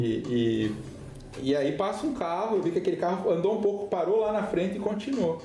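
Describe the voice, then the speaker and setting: A man talks at a fairly quick pace with very wide pitch swings, against noticeable background noise and audible room echo. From Rio Grande do Sul, southern Brazil. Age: 40s. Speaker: missionary pastor. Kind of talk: podcast interview testimony.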